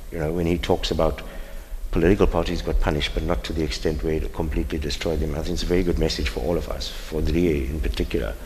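A man at a very fast pace, with audible room echo. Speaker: politician. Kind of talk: panel discussion.

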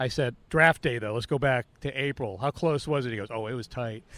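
A man speaks at a very fast pace with medium pitch and fairly even intonation. The sound is dry and close with no echo, on a very clean recording with a silent background. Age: 50s. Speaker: sports podcast co-host. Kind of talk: casual chat.

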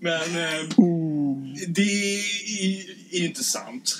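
Over noticeable background noise, a man speaks in a high voice with ordinary pitch variation. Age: 30s. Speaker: podcast host and nurse. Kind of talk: casual chat. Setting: ship cabin. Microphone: poor sound quality.

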